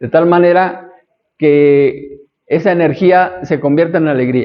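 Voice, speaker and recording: With a Mexican accent, a man speaks at a fairly slow pace in a fairly high pitch, his intonation fairly even. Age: 60s. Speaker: astrology teacher. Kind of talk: lecture. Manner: conversational.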